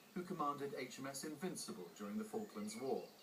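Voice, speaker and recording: Noticeable background noise sits behind a man's voice. His pitch is fairly high and swings very widely. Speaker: TV news reporter. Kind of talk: TV news report narration.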